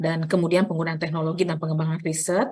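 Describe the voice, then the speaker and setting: A woman speaks at a very fast pace. Her voice is somewhat breathy and fairly low in pitch. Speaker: nursing lecturer. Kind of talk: lecture. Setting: online class from library. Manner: soft-spoken; hesitant with fillers.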